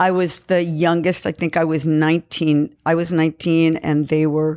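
A woman with a Californian accent speaks at a very deep, low pitch in a dark, mellow tone and a monotone, flat intonation. The recording is very clean, with a silent background. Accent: general American, Californian. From San Francisco Bay Area. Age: 70s. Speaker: musician and band member. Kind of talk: casual interview.

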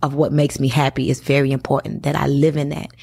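A woman's very deep, low voice with vocal fry at a fairly quick pace. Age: 30s. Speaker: network marketer. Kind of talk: interview. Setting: studio.

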